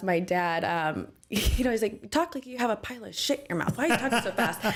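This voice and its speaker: With an American accent, the speaker moves at a fairly quick pace with lively intonation. There is noticeable background noise. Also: woman. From Michigan, US Midwest. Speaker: real estate guest, former bartender. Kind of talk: interview. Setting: studio. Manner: fast.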